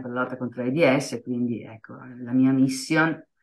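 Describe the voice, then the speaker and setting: The woman's pitch is very deep and low, and her intonation is monotone and flat. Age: 50s. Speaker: HIV awareness activist. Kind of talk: interview. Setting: radio studio.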